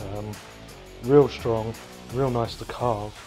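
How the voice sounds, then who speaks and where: A man talks while clear music plays behind him. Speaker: renovation vlogger. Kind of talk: casual vlog chat. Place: garage. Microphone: phone near.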